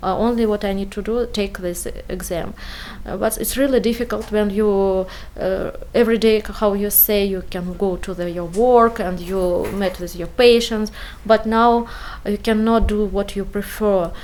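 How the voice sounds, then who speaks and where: A woman's medium-pitched voice with a non-native accent, fairly even intonation and moderate pace, over noticeable background noise. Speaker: refugee, physician. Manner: halting.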